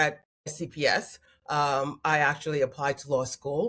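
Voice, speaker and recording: This woman's voice sits very deep and low in pitch and sounds somewhat breathy. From Queens, New York. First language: French and Haitian Creole. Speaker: family mediator. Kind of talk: interview.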